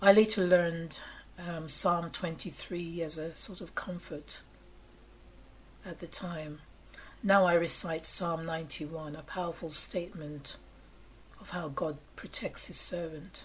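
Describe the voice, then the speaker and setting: A woman speaks at a fairly slow pace with long, frequent pauses, her voice somewhat breathy and fairly low in pitch. Her intonation stays fairly even while her loudness swings widely. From England. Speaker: storyteller of personal ghost encounters. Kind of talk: personal ghost story told to camera.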